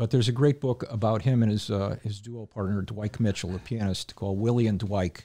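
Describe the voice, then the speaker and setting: A man with an American accent talks at a fairly quick pace with hardly any pauses. His fairly low voice has a dark, mellow tone and fairly even intonation. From Connecticut, Hamden. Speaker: drummer. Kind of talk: casual chat. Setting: studio.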